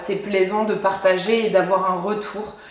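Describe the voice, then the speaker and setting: There is noticeable background noise and audible room echo. A woman talks at a fairly slow pace. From France, Champagne-Ardenne. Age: 20s. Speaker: dietitian and YouTuber. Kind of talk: casual vlog introduction. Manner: hesitant, many fillers.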